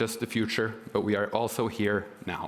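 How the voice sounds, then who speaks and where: This man speaks at a medium pitch with a Norwegian accent. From Norway. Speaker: government consultant. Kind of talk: prepared speech.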